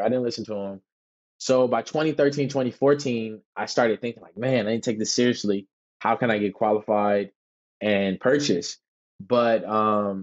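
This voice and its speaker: A man talks with fairly even intonation, and the background is quiet. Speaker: podcast guest. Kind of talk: interview answer. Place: home room. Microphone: earbuds.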